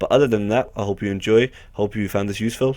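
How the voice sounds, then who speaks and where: The speaker is a man. His voice sits fairly low. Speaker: gaming video creator. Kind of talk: game tutorial commentary. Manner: fast; casual with frequent fillers.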